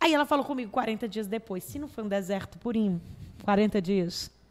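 This woman talks with a Cearense accent at a fairly quick pace. Her pitch is fairly high, with ordinary variation. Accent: Cearense Brazilian Portuguese. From Brazil, Fortaleza (Ceará). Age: 30s. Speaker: actress and comedian. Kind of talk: casual chat. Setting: studio.

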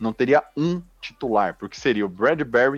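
Dry and close with no echo, a man of medium pitch speaks fairly slowly with lively intonation. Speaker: NFL fan commentator. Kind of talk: casual sports talk. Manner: animated.

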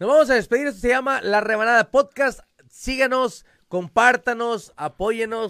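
This man speaks at a moderate pace with an extremely high pitch, ordinary pitch variation, an animated, bright, sharp tone and a dry, close sound with no echo. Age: 30s. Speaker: podcast host. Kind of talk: casual chat.

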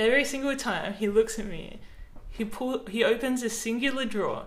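A woman with an Australian accent, fairly high in pitch, at a moderate pace, with audible room echo. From South Australia. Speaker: podcast host and author. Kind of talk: casual chat.

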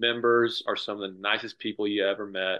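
A man with an American accent speaks at a moderate pace in a fairly low pitch, his intonation flat and monotone, over a quiet background. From northeastern US. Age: 20s. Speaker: golf professional. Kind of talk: casual chat. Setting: video call.

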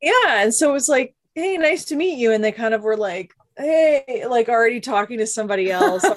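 A woman's high voice, fairly quick, with lively intonation and hardly any pauses. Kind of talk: casual chat.

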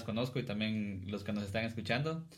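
A man speaks at a fairly quick pace. Room echo is audible. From Guatemala (Cuilapa, Santa Rosa). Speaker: podcast host and musician. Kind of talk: casual chat.

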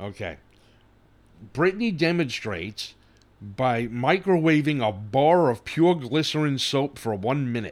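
Speaking with a New York accent, a man keeps a medium pitch and a fairly slow pace. His pitch swings very widely. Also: very clean recording, silent background. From New York City, Brooklyn and Staten Island. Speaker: podcast co-host. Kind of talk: casual chat.

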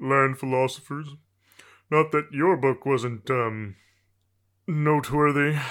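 A put-on character voice at a moderate pace. The recording is very clean, with a silent background. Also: man. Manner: silky, menacing, condescending.

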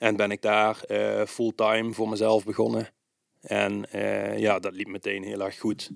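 Recorded very cleanly with a silent background and a dry, close sound with no echo, a man speaks at a fairly slow pace. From Netherlands, Limburg (Swalmen). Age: 30s. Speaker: bicycle repair shop owner. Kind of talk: interview. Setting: on location at his shop. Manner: hesitant, many filler sounds.

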